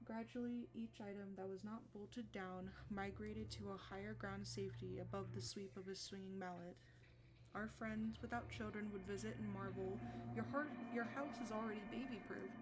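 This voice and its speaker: A soft-spoken woman talks at a moderate pace against noticeable background noise. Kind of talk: soft-spoken ASMR book reading. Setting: close microphone, cozy stream.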